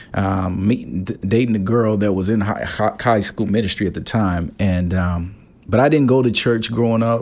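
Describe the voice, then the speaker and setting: Audible room echo surrounds a man with an American accent who speaks at a moderate pace with fairly low pitch and fairly even intonation. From Gary, Indiana (US Midwest). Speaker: pastor. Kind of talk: interview. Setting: conference venue.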